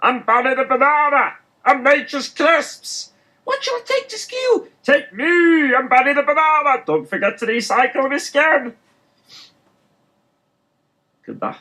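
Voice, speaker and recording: A high-pitched, cartoonish character voice moves at a moderate pace with long, frequent pauses. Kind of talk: cartoon mascot voice. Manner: cheery, advertising jingle style.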